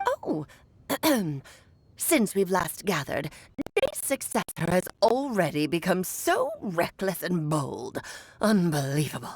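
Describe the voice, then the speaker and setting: Doing a put-on character voice, a woman speaks at a medium pitch. Her pace is fairly slow. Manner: imitating someone else's speech.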